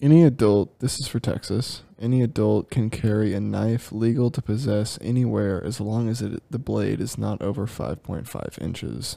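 A soft-spoken man mumbles in a fairly low, dark, mellow voice with ordinary pitch variation. He speaks with hardly any pauses on a very clean recording with a silent background. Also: moderate pace. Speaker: podcast co-host. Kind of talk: casual chat. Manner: mumbly, soft-spoken.

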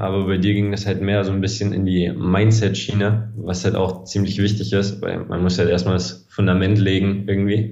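Amid noticeable background noise and audible room echo, a man speaks in a monotone, flat intonation at a fairly low pitch and moderate pace. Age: 20s. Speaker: sports videographer and video editor. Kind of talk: casual interview.

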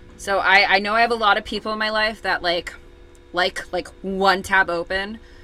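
A woman's fairly level voice over background music. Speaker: true crime podcast co-host. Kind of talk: casual chat with case narration. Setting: remote recording, co-hosts apart. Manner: halting, repeats words.

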